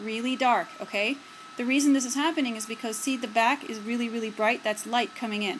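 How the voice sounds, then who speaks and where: A woman with a high voice talks fairly quickly in fairly even intonation, with noticeable background noise behind her. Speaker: photography teacher. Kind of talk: tutorial. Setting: indoors by a window, self-filmed video. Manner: halting, filler-heavy.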